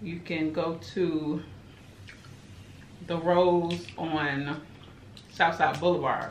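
Fairly low-pitched woman's voice, audible room echo and light background noise. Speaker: mukbang vlogger. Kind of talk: casual vlog chat. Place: home room.

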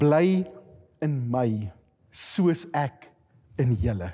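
Against a quiet background, a man speaks with a dark, mellow tone. His pitch swings very widely. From Free State, South Africa (Koppies); Free State, South Africa. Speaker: pastor. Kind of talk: sermon. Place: studio. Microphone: lapel.

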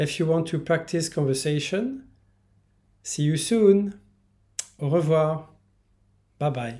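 With a Parisian accent, a man speaks very slowly, with long, frequent pauses, in a dark, mellow tone at a fairly high pitch. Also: ordinary pitch variation, quiet background. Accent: classic Parisian. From France, Paris. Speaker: language teacher; French teacher. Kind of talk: promotional introduction; self-introduction promo talk. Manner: bilingual, repeating each line in English. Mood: friendly, smiling. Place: home room. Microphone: phone near.

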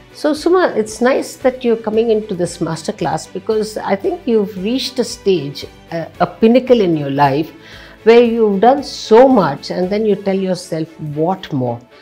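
A woman speaks at a fairly slow pace. Faint music can be heard in the background. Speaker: show host. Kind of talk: interview question. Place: studio.

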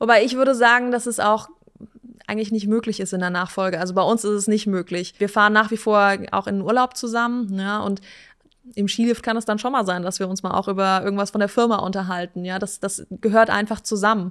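Against a quiet background, a woman speaks at a fairly quick pace with fairly even intonation. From Hesse, Germany (Wiesbaden); Hesse, Germany. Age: 30s. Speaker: company managing director; guest. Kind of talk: casual interview. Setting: company headquarters. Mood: relaxed, friendly. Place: studio. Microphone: studio mic.

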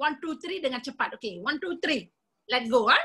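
Her voice is raised and projected, sitting high for a woman. The tone comes out bright and sharp. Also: quiet background. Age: 50s. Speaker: nutritionist; presenter. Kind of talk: sales presentation. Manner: animated. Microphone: video call.

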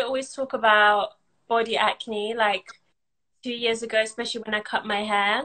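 Against a quiet background, a woman with a London accent speaks in a bright, sharp tone at a fairly high pitch, leaving long, frequent pauses. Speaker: content creator and business owner; content creator. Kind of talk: casual interview. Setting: online live video call. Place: home room. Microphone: video call.

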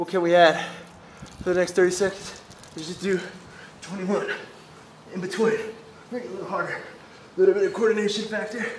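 Amid audible room echo and light background noise, a man with a high pitch speaks at a very fast pace with fairly even intonation. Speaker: fitness coach. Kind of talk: workout tutorial recap. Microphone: phone near.

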